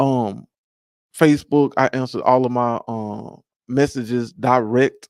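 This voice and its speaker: In an American accent, the speaker talks at a fairly slow pace with monotone, flat intonation, recorded with a dry, close sound and no echo. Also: man, medium pitch for a man. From US South, Memphis, Tennessee. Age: 30s. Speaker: painter. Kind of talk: interview. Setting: studio. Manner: halting.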